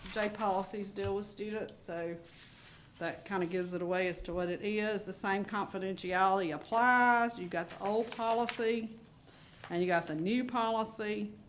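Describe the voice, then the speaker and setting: In an unremarkable speaking voice, a woman talks at a moderate pace and medium pitch with fairly even intonation. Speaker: school district administrator, Title IX officer. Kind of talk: school board meeting presentation.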